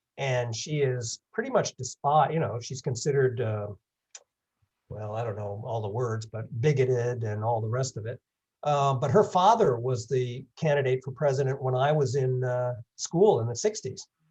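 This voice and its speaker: A man talks at a moderate pace with a medium pitch. His voice is somewhat breathy. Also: ordinary pitch variation. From England. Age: 70s. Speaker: long-distance hiker giving a talk. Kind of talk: presentation with Q&A.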